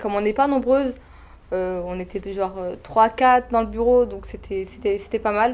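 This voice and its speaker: Her pitch fairly high with ordinary variation, a woman talks at a moderate pace. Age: 20s. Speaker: former intern at an event agency. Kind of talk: testimonial interview. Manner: hesitant, many fillers.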